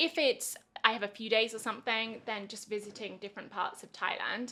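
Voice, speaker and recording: Fairly high, bright, sharp female voice with a southern English accent at a fairly quick pace. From England. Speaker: English teacher. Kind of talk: casual interview chat.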